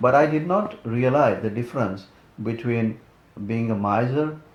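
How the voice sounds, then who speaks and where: Amid audible room echo, a man speaks at a moderate pace with medium pitch and ordinary pitch variation. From India. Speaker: immigrant career coach. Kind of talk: interview. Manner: halting, repetitive starts.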